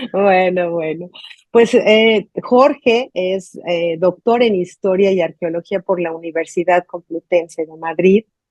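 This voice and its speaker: The sound is dry and close with no echo as a woman speaks very slowly at a medium pitch, with ordinary pitch variation and big swings in loudness. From Mexico. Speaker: journalist, interview host. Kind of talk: interview.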